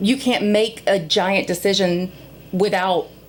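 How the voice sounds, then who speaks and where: A woman with an ordinary speaking voice at a medium pitch and a fairly slow pace. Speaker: local government board member. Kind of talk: interview. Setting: podcast.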